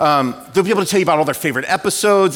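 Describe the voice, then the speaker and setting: A man with a West Coast US accent talks very fast in an animated tone. His pitch varies in an ordinary way, and there is noticeable background noise. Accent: General American (West Coast). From Southern California. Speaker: pastor. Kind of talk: sermon.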